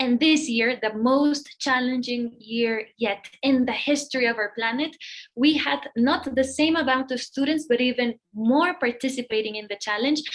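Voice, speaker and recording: A woman with a Spanish accent, high-pitched, at a moderate pace with ordinary pitch variation. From Mexico (Monterrey). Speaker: nonprofit executive, event speaker. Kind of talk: event welcome speech.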